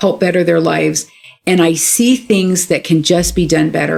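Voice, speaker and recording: Over music in the background, a woman with an American accent talks at a moderate pace in a fairly low voice with ordinary pitch variation. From California, San Francisco Bay Area. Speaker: local political candidate and clinical supervisor. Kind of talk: interview.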